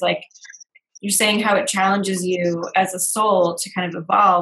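A woman's medium-pitched, normal speaking voice at a moderate pace, with fairly even intonation. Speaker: video show host. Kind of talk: casual interview chat.

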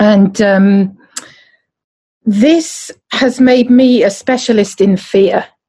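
Very slowly and with long, frequent pauses, a woman with a southern English accent speaks at a fairly high pitch with ordinary pitch variation and very even loudness, her tone dark, mellow and somewhat breathy. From southern England, Surrey. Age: 50s. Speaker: podcast co-host and embodiment coach. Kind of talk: casual chat.

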